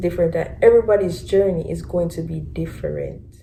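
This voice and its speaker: Speaking at a very fast pace, a woman with a Jamaican accent has an animated tone. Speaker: vlogger. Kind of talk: casual chat.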